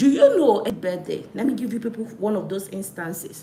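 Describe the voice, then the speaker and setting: A woman speaks in an animated tone at a fairly slow pace. Audible room echo surrounds her voice. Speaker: live stream host. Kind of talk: live stream talk.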